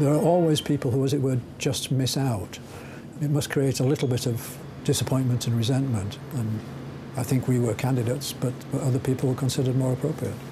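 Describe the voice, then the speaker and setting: A man at medium pitch and a fairly quick pace, with fairly even intonation, very even loudness and noticeable background noise. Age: 60s. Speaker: scientist. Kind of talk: interview. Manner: halting.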